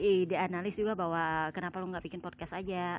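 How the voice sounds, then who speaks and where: Over a quiet background, a woman with a normal speaking voice talks at a moderate pace with ordinary pitch variation. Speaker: sports podcast host and writer. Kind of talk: casual podcast commentary. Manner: casual, with many fillers.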